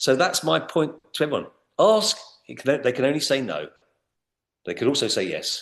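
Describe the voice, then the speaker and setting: A man with a British accent, long, frequent pauses and a quiet background. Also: moderate pace. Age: 60s. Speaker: business trainer. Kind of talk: podcast interview. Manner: halting, with many repeated words.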